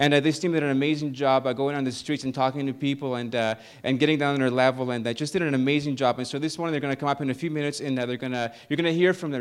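Barely pausing, a man with a fairly high voice speaks at a very fast pace with fairly even intonation. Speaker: pastor. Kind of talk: sermon. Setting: church.

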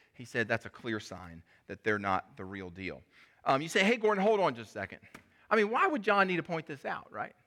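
At a fairly quick pace, the speaker's pitch swings very widely and the loudness shifts a great deal. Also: man, fairly high pitch for a man. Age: 40s. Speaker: pastor. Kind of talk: sermon.

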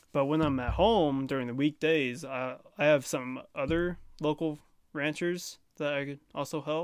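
On a very clean recording with a silent background, a man with an ordinary speaking voice talks at a fairly slow pace, fairly high in pitch, with fairly even intonation. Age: young. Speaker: young ranch hand. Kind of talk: casual chat. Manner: laughs often.

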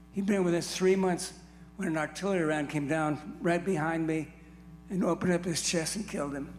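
A man with an American accent speaks at a fairly quick pace and a high pitch, his intonation fairly even. Music plays in the background. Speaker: Vietnam veteran giving testimony. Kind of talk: testimony storytelling.

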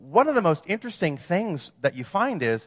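With an American accent, the speaker uses a bright, sharp tone and very wide pitch swings at a moderate pace, in a dry, close sound with no echo over a quiet background. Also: man. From Wisconsin, US Midwest. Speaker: campus ministry missionary and speaker. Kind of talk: sermon.

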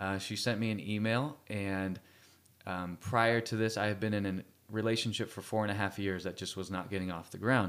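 A man with a Californian accent, fairly low in pitch, at a moderate pace. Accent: General American (Californian). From Central California (Fresno). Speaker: worship leader and musician. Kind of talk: radio interview.

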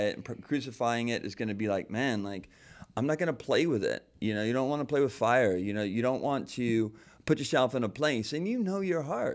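A man with an unremarkable speaking voice talks at a medium pitch and fairly quick pace, with lively intonation. The recording is very clean, the background silent. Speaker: pastor. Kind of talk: casual chat. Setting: studio.

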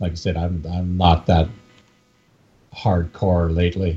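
Speaking at a fairly slow pace, a man with a Canadian accent has a very deep, low pitch and a somewhat breathy sound. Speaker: UFC MMA expert. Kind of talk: casual chat.

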